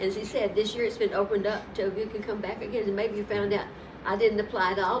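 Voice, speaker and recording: A woman's medium-pitched voice at a very fast pace with fairly even intonation, amid audible room echo and noticeable background noise. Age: 70s. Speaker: tax commissioner. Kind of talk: interview.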